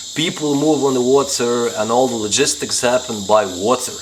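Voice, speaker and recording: A man with a Lithuanian accent speaks at a moderate pace and a medium pitch with ordinary pitch variation. Noticeable background noise and audible room echo are present. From northeastern Lithuania, countryside. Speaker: travel vlogger. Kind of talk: casual Q&A answering viewer questions.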